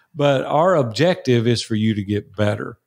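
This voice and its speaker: The speaker is a man with a Tennessee accent. He talks at a moderate pace. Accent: US Southern (Tennessee). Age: 60s. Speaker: entrepreneur and mastermind coach. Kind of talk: interview conversation.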